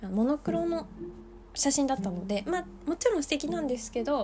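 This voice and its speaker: High-pitched female speech with very wide swings in pitch. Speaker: podcaster. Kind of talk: casual solo monologue. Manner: fast; laughing often.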